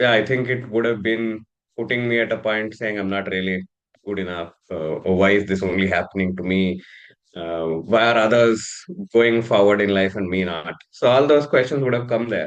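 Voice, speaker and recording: With a Kannada accent, a man talks at a moderate pace in a fairly low pitch. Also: ordinary pitch variation, quiet background. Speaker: leadership and career coach. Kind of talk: interview conversation. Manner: hesitant with fillers.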